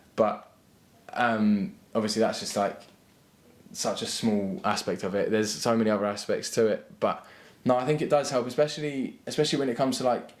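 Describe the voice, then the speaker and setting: A man with an English accent speaks at a fairly quick pace and a medium pitch. His intonation is lively, broken by long, frequent pauses. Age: 20s. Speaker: footballer and university student. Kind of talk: interview. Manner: halting, many repeated words.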